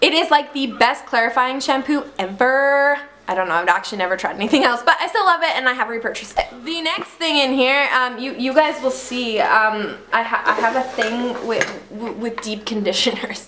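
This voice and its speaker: A woman's raised, projected voice, high in pitch, with lively intonation, hardly any pauses and noticeable background noise. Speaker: mommy vlogger. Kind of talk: casual product review vlog. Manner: fast.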